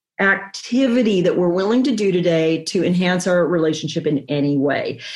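With very wide swings in pitch, a woman talks in a somewhat breathy voice. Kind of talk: podcast interview. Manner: animated.

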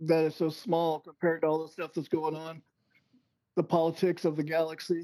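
In an American accent, a man talks at a fairly quick pace with a fairly high pitch, a dark, mellow tone and monotone, flat intonation. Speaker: Navy veteran, UFO commentator. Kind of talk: casual interview chat. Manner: brief, plain-spoken answers.

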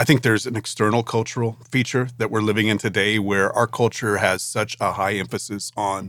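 A man's fairly low voice, fairly even in intonation, a normal speaking voice at a moderate pace, on a very clean recording with a silent background. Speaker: pastor and ministry director. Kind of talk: casual podcast conversation.

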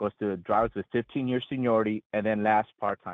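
A man with an ordinary speaking voice, fairly low in pitch, at a fairly quick pace and with fairly even intonation. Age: 40s. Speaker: union member caller. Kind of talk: call-in.

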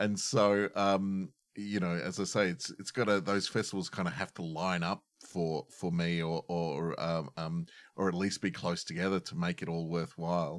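With an Australian accent, a man with a very deep, low voice speaks at a moderate pace with fairly even intonation. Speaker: podcast host and improviser. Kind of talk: casual chat. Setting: video call. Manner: jokey.

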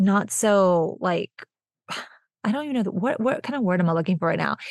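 A woman's medium-pitched voice with a Texan accent and an animated tone, dry and close with no echo, against a quiet background. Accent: Texan American. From Texas. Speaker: podcast host, small business owner. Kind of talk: casual solo podcast talk.

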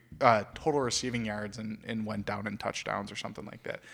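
A man with an American accent and an unremarkable speaking voice, fairly low in pitch, fairly even in intonation and fairly quick, on a very clean recording with a silent background. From Michigan. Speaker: sports podcast co-host. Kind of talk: casual chat.

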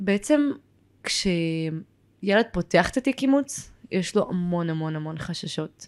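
A woman is speaking. The background is silent on this very clean recording. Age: 20s. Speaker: adopted person and social worker. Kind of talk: interview testimony.

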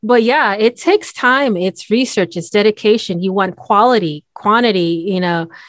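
A woman speaks in a normal speaking voice at medium pitch, with lively intonation and a moderate pace. The background is quiet, and the sound is dry and close with no echo. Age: 40s. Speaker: podcast host and voiceover artist. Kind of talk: casual chat.

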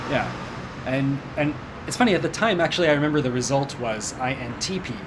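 With ordinary pitch variation, a man speaks in a Pacific Northwest accent, the audio carrying audible room echo and noticeable background noise. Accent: General American, Pacific Northwest. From US Pacific Northwest, Seattle. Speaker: improv performer and language learner. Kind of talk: interview.

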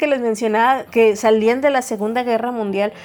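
A woman's high-pitched voice with ordinary pitch variation, music in the background. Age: 40s. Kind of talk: devotional talk. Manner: conversational.

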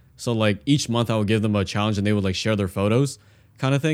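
In a very clean recording with a silent background, a man with an American accent and fairly low pitch speaks at a very fast pace with ordinary pitch variation. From US West Coast (San Francisco Bay Area). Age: 20s. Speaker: photographer and video creator. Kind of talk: interview conversation.

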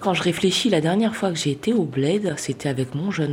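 This is a woman with a normal speaking voice and a fairly low pitch. Her intonation is lively, and her pace is moderate. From Saint-Denis, Paris suburbs. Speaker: interviewee. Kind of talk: personal testimony.

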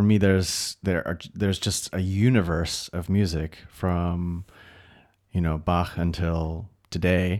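On a very clean recording with a silent background, a man with an American accent speaks very slowly in a very deep, low voice. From United States. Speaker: concert pianist. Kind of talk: casual interview chat. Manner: animated, heated at times.

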